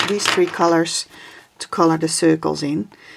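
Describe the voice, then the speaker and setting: A woman's fairly low voice with a Dutch accent. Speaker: craft video creator. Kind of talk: tutorial. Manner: halting.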